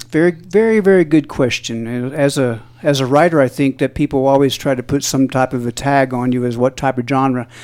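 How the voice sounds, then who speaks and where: At a fairly quick pace, a man with an American accent uses an ordinary speaking voice at medium pitch with ordinary pitch variation. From southeast Missouri, US. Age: 60s. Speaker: musician. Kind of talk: interview.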